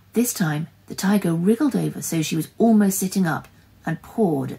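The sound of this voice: A reading voice that sounds unforced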